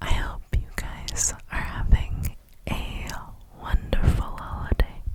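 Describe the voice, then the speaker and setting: A woman whispering amid noticeable background noise. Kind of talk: ASMR rambling talk to camera. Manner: whispered, soft-spoken, repetitive.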